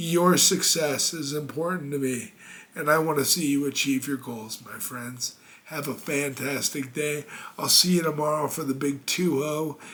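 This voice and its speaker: The man's voice is fairly high, his intonation fairly even, and his pace moderate, with noticeable noise in the background. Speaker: motivational speaker. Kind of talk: motivational talk. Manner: casual, warm direct address.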